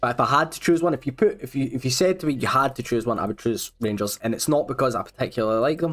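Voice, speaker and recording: In a Scottish accent, the speech runs very fast with hardly any pauses. Pitch varies in an ordinary way. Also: man, medium pitch for a man. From Scotland, Glasgow. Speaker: gaming streamer. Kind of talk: live stream chat. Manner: casual, conversational.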